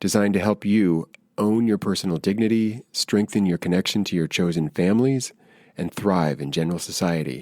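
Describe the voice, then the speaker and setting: An ordinary speaking voice moves at a fairly quick pace with ordinary pitch variation and a dry, close sound with no echo. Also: man, fairly low pitch for a man. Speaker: podcast host, yoga teacher. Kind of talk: podcast intro read. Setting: video call.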